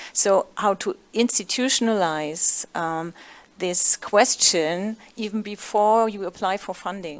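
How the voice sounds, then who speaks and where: A woman with a German accent speaks at medium pitch and a fairly slow pace, with fairly even intonation, in a very clean recording with a silent background. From Germany. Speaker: panelist, gender research manager. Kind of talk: panel discussion.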